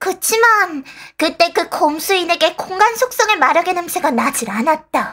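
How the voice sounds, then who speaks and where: The voice is a put-on character. Its pitch is extremely high. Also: moderate pace. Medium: audio drama. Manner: blunt, simple declarative speech.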